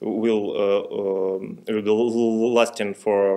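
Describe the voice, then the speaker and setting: Against a quiet background, a man speaks in a fairly low pitch with monotone, flat intonation. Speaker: interviewee. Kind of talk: interview answer. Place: hall. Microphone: podium.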